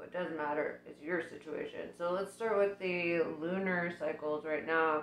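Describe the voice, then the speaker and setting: A woman with a fairly low voice speaks at a fairly slow pace over noticeable background noise. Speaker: tarot reader. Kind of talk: tarot reading. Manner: casual, hesitant with fillers.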